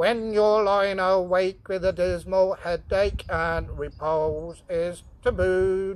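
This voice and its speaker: A robotic, put-on character voice at middle pitch moves at a very slow pace with hardly any pauses. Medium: read story. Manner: worried, apologetic.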